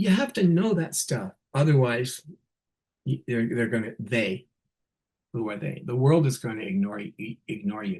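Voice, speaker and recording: Somewhat breathy, a man talks at medium pitch and a moderate pace with lively intonation. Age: 60s. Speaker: nurse leader giving a keynote. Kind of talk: keynote talk. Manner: animated.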